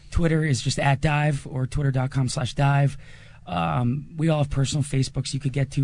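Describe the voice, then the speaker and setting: Somewhat breathy and fairly high in pitch, a man with an American accent speaks with fairly even intonation against a quiet background. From New Jersey. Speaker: band singer. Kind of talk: casual interview. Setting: live music venue.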